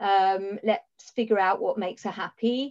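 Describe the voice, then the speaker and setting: A woman with an English accent at a fairly high pitch, with ordinary pitch variation. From England. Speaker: accountant and business owner. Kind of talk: casual chat.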